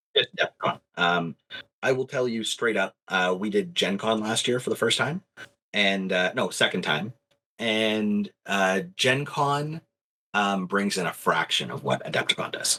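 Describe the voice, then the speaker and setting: A man speaks with a Canadian accent at a fairly slow pace. The sound is dry and close, with no echo. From Canada. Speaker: miniatures company representative. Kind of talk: casual interview. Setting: live stream. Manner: animated.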